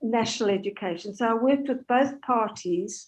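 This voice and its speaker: An English accent with ordinary pitch variation against a quiet background. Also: woman. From South Africa. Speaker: Holocaust educator and heritage charity chair. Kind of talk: talk with Q&A.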